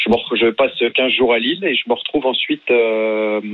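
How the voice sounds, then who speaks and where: Through noticeable background noise, a man speaks with a medium pitch. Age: 40s. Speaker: paralympic paracanoe athlete. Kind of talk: radio interview. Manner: casual, hesitant.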